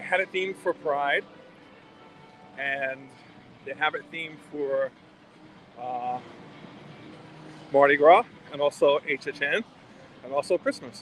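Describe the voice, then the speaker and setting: Noticeable background noise runs behind a man with an American accent. He talks fairly high and fairly slowly, with long, frequent pauses. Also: ordinary pitch variation. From Brooklyn, New York. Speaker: travel vlogger. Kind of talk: live stream walk-and-talk. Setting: outdoors at entertainment district. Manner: casual, conversational.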